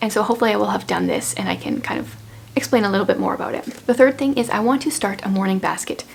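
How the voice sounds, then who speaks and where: A woman talks at a very fast pace with fairly even intonation. Noticeable background noise is audible behind her. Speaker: homeschooling mom vlogger. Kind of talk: casual vlog talk. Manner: casual, with many fillers.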